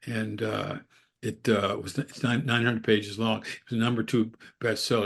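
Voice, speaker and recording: Vocal fry marks a man's medium-pitched, monotone, flat delivery at a moderate pace. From Upstate New York (Endicott). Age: 80s+. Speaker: biographer. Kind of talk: interview. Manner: halting, repeats words.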